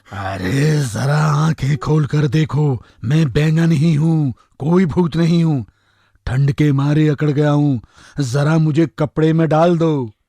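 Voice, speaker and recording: Putting on a cartoonish character voice, a man speaks fairly slowly at a fairly high pitch. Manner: cheeky, chatty.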